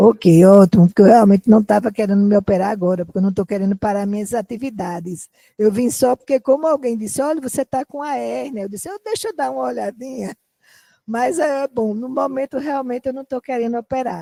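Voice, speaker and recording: The tone is dark and mellow, delivered at a fairly quick pace with big swings in loudness. The sound is dry and close, with no echo. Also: woman, fairly high pitch for a woman, lively intonation. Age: 60s. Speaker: doctor acting as patient, dancer. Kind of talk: role-play patient consultation. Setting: lecture hall with audience.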